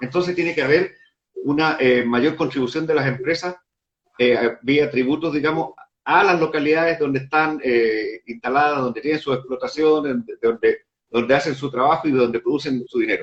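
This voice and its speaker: A man with a Chilean accent speaks in a fairly high pitch. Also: ordinary pitch variation, moderate pace. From Chile, Valparaíso. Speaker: politician, presidential candidate. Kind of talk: political interview conversation.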